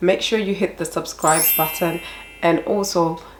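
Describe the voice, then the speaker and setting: Over noticeable background noise, a woman speaks at a fairly low pitch and a moderate pace. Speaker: life coach. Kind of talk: motivational vlog talk. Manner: pauses to breathe or cough.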